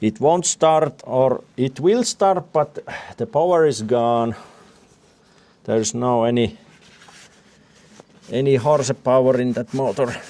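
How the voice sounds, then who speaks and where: A man of medium pitch talks at a fairly slow pace, leaving long, frequent pauses, with ordinary pitch variation. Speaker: DIY tractor restorer. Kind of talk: workshop vlog narration. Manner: halting, many fillers.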